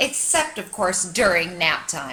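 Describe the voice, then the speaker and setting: A woman puts on a sing-song character voice at a medium pitch. She speaks at a fairly slow pace. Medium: read story. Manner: chirpy, sing-song, enthusiastic.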